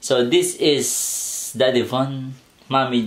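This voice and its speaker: A man's voice over loud background noise. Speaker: mukbang vlogger. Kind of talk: casual vlog chat. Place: home room.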